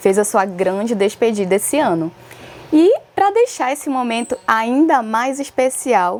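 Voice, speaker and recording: Her pitch fairly high and swinging very widely, a woman talks at a fairly slow pace. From Alter do Chão, Pará, Brazil. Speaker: podcast host, dancer and choreographer. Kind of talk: interview.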